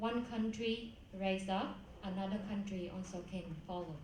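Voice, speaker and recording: A woman's medium-pitched voice in a Vietnamese accent, with ordinary pitch variation, a fairly slow pace, noticeable background noise and audible room echo. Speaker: beauty pageant contestant. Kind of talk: pageant interview Q&A. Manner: halting, many fillers.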